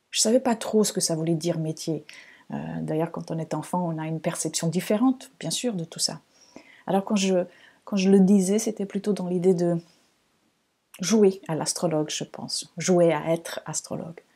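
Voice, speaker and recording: A woman talks at a moderate pace with a calm, dark, mellow tone and fairly low pitch. Her pitch varies in an ordinary way, broken by long, frequent pauses. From Portugal, Lisbon. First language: Portuguese (speaking French). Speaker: astrologer, podcast host. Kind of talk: podcast monologue. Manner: calm, reflective, with some hesitations.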